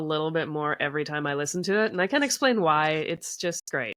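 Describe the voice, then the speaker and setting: Lively intonation marks a woman speaking at a fairly quick pace. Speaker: author and podcast guest. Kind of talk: casual chat.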